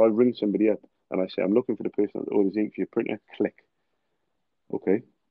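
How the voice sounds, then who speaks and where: This is a man speaking. He has a British accent. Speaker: cold caller, sales trainer. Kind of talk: casual podcast chat.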